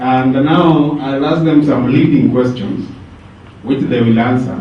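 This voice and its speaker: In a recording with noticeable background noise and audible room echo, a man speaks at a moderate pace with fairly even intonation. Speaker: panel moderator. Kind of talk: moderating a panel. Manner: soft-spoken.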